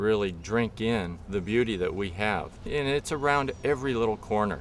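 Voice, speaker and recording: With an American accent, a man speaks at a fairly slow pace. He has a normal speaking voice with a fairly low pitch. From US West Coast, southern California. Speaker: artist. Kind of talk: interview testimony.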